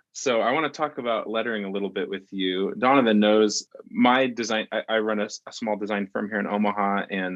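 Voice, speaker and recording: Here a man talks at a fairly quick pace. He has an ordinary speaking voice with a fairly low pitch. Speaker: podcast co-host. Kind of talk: casual interview. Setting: video call.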